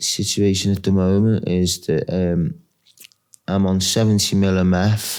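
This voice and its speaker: This man has a Merseyside accent and a very deep, low pitch. He speaks at a fairly slow pace with fairly even intonation and very even loudness. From Wirral, North West England. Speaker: homeless heroin addict. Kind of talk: interview answer. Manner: hesitant.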